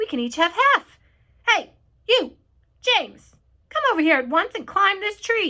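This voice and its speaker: A woman does a squeaky put-on character voice at an extremely high pitch, with very wide pitch swings and long, frequent pauses. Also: moderate pace. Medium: read story. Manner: bossy, querulous.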